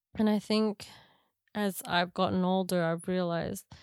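Recorded very cleanly over a silent background, a woman with an Australian accent speaks at a medium pitch and moderate pace in a monotone, flat intonation. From Australia (Canberra), Filipino parents. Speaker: podcast host. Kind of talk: casual chat.

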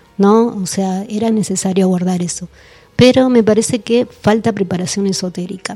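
Music plays in the background as a woman speaks at a moderate pace. Her medium-pitched voice keeps a fairly even intonation. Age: 50s. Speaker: researcher and author on esoteric history. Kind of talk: radio interview.

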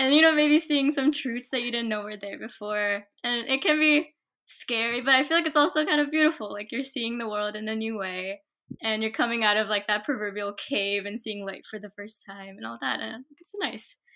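A woman's bright, sharp voice, fairly high in pitch, with an American accent, lively intonation and big swings in loudness. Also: moderate pace, very clean recording, silent background. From US East Coast. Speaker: podcast host. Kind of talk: casual interview.

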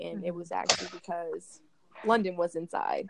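A woman talking at a moderate pace. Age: 20s. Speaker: mom and small business owner. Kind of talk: casual storytelling on a group call.

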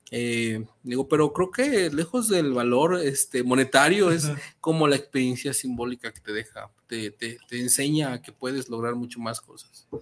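Using an ordinary speaking voice, a man of medium pitch talks at a moderate pace with hardly any pauses, ordinary pitch variation and big swings in loudness. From central Mexico (Metepec, State of Mexico). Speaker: sculptor. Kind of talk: interview, casual conversation.

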